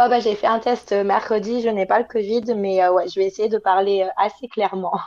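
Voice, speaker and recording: Noticeable background noise runs under a woman speaking at a moderate pace, her loudness very even and her intonation monotone and flat. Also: medium pitch for a woman. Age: 20s. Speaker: working holiday traveller. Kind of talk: podcast interview.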